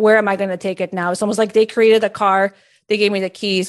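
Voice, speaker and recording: Over a quiet background, a woman with a Spanish accent talks at a medium pitch in a monotone, flat intonation. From Peru. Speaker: career coach and entrepreneur. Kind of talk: podcast interview.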